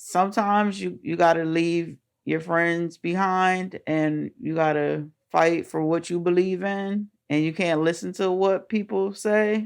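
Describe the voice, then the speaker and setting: A woman speaks at a fairly slow pace. Her pitch sits fairly low, with fairly even intonation. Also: quiet background. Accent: New Jersey. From Trenton, New Jersey. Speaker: single working mother. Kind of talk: interview answer.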